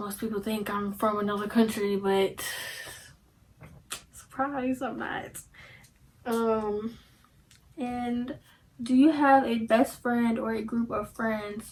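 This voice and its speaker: A woman with an American accent and a fairly high pitch speaks at a very slow pace, her intonation fairly even and broken by long, frequent pauses. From Indianapolis, Indiana, US Midwest. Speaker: YouTuber. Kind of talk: casual Q&A vlog. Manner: casual, filler-heavy.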